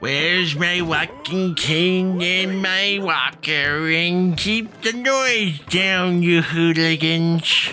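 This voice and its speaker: A man's high-pitched, put-on character voice at a very slow pace, with clear background noise. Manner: grumpy, complaining.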